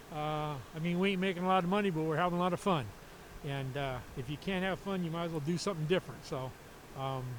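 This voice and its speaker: A man with an American accent speaks at a high pitch with ordinary pitch variation. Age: 70s. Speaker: race car driver. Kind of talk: trackside interview. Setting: racetrack. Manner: halting.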